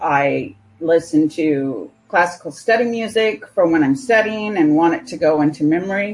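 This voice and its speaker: Speaking at a moderate pace with an American accent, a woman's fairly low voice moves through very wide pitch swings. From California. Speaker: software developer. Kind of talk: interview.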